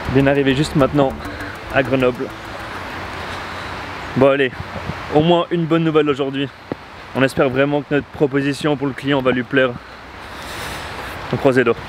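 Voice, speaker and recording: Amid noticeable background noise, a man with a fairly high pitch talks at a fairly quick pace in monotone, flat intonation with long, frequent pauses, the sound dry with no echo. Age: 20s. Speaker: entrepreneur, marketing agency founder. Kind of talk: casual vlog talk to camera. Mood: upbeat despite bad news. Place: street. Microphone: lapel.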